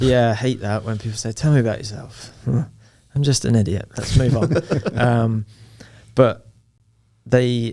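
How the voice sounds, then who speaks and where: Speaking with an English accent, a man uses a dark, mellow tone and ordinary pitch variation at a fairly slow pace, leaving long, frequent pauses. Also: medium pitch for a man. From Nottingham, England. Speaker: soccer coach. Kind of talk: podcast interview answer.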